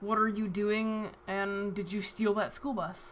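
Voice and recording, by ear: A put-on character voice that sounds female, pitched fairly high and delivered in a flat monotone, over clear background noise. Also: fairly slow pace.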